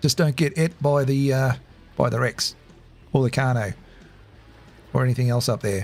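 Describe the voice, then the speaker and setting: Over music in the background, a man with an Australian accent speaks at a moderate pace and a medium pitch, with ordinary pitch variation and long, frequent pauses. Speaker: gaming streamer. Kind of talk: casual chat. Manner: halting.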